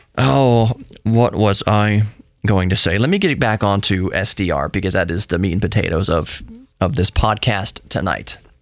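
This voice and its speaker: A man's put-on character voice, raspy and fairly low in pitch, at a moderate pace with very even loudness. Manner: talking fast, excited.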